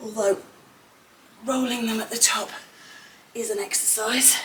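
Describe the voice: A woman's fairly high-pitched, fairly bright voice at a fairly slow pace, with fairly even intonation and audible room echo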